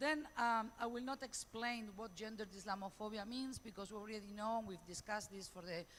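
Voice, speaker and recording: A woman talks at a fairly quick pace in a Spanish accent. Her pitch is fairly high, with ordinary variation. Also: hardly any pauses. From Spain. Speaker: professor. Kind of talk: conference talk. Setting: conference panel. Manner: fast.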